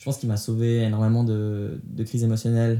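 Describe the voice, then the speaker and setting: A man speaks at a medium pitch with a dark, mellow tone. The recording is very clean with a silent background. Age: 20s. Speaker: podcast interviewee sharing life story. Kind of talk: testimony. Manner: halting with frequent hesitations.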